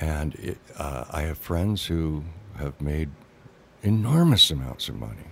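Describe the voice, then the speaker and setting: With a very deep, low pitch, a man talks at a fairly slow pace, leaving long, frequent pauses while his intonation stays lively. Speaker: actor. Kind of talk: casual chat. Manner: halting.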